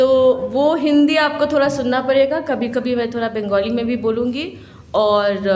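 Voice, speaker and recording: Against noticeable background noise and audible room echo, a woman speaks with a Bengali accent and lively intonation. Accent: Bengali accent in Hindi. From Kolkata, West Bengal, India. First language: Bengali (speaking Hindi). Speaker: lawyer and speaker on citizenship law. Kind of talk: public speech at a symposium.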